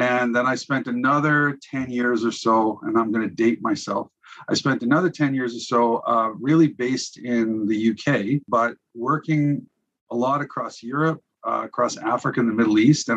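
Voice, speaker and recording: A man with a Canadian accent speaks at a medium pitch and a moderate pace. He has a plain, everyday voice with fairly even intonation. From Saskatchewan, Canada. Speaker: business development leader. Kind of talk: interview conversation.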